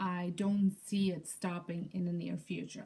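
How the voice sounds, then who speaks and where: A dark, mellow, somewhat breathy voice at a fairly slow pace. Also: woman. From Europe. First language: not English. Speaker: lifestyle YouTuber and home daycare provider. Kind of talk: casual vlog introduction from notes.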